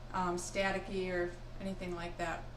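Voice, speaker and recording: A woman with a fairly low pitch talks at a fairly quick pace, with noticeable background noise and audible room echo. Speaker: cooking show co-host. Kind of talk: cooking demonstration.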